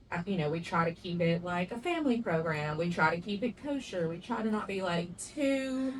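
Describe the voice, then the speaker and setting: Lively intonation from a medium-pitched woman in a strong Southern US accent, at a moderate pace with noticeable background noise. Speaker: podcast co-host. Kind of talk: casual chat. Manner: sometimes stumbles over words.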